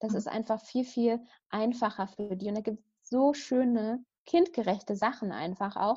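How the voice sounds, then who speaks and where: Against a quiet background, a woman with a somewhat breathy, dark, mellow tone and a fairly high pitch talks at a moderate pace with ordinary pitch variation. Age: 30s. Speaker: meditation teacher and coach for young mothers. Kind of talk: casual interview.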